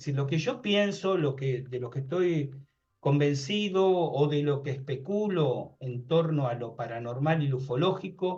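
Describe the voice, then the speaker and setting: There is audible room echo around a man with a fairly high pitch. His delivery is fairly slow and somewhat breathy. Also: ordinary pitch variation. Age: 60s. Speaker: paranormal researcher and author. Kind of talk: interview conversation.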